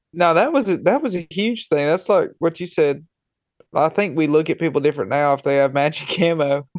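This man speaks at a high pitch with ordinary pitch variation. His pace is fairly quick. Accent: Southern US. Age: 20s. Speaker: hunting podcast host. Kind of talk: casual chat.

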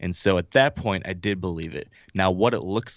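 Using a normal speaking voice, a man talks at a moderate pace with a fairly low pitch and ordinary pitch variation. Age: 30s. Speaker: hunting podcast host and author. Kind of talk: interview conversation. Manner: casual, filler-heavy.

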